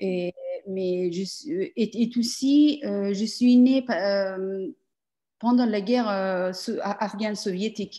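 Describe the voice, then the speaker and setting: The voice has a dark, mellow tone and ordinary pitch variation, moving at a very slow pace. The background is quiet. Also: woman, medium pitch for a woman. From Afghan family, grew up in Iran and Pakistan. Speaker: performance artist. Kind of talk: interview. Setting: video call. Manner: halting.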